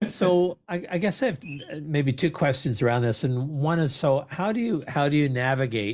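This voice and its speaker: A man's normal speaking voice, fairly high in pitch, fairly slow, with lively intonation. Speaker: podcast host. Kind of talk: interview question.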